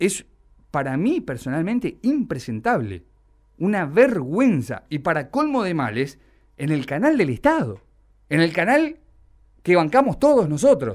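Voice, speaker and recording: A man speaks in an angry tone with very wide pitch swings. He goes at a fairly slow pace with long, frequent pauses against a quiet background. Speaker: radio host. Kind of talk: indignant radio rant. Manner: angry, sarcastic, emphatic. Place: studio.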